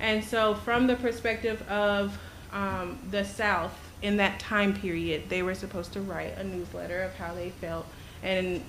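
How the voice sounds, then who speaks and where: A shaky female voice in audible room echo, with fairly even intonation. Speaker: concerned parent. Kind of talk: public comment at school board meeting. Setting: school board meeting. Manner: halting.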